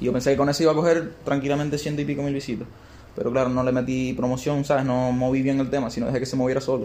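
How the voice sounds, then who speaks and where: Amid audible room echo, a man speaks very fast at medium pitch in a monotone, flat intonation. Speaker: rapper. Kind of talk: casual interview.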